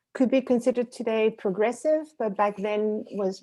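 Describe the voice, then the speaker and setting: A dark, mellow tone in a Spanish accent, moderate in pace with ordinary pitch variation. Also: woman. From Dominican Republic, Santiago (Cibao region). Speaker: professor. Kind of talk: interview. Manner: halting, many fillers.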